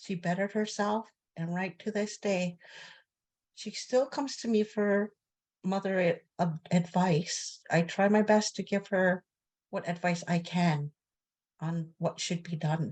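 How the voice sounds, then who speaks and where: A woman speaks at a medium pitch and a fairly slow pace, her voice somewhat breathy with ordinary pitch variation. She leaves long, frequent pauses against a quiet background. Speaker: residential school survivor. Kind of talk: testimony.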